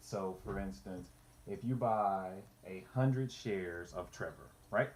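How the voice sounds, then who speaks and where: In a plain, everyday voice, a man talks at a fairly slow pace with ordinary pitch variation. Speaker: finance youtuber. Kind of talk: tutorial. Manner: casual, repetitive false starts.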